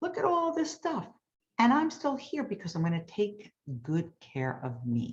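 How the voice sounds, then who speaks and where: A somewhat breathy woman's voice at medium pitch, fairly slow in pace, with very wide pitch swings. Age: 60s. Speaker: hypnotist. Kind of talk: sales pitch.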